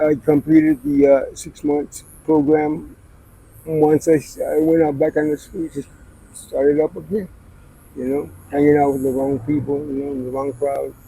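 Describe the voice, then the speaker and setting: In an American accent, a man delivers his words at a moderate pace in a fairly high pitch, his tone dark and mellow and his intonation monotone and flat. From Arizona, Scottsdale. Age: 60s. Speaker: person in addiction. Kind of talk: street interview. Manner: soft-spoken.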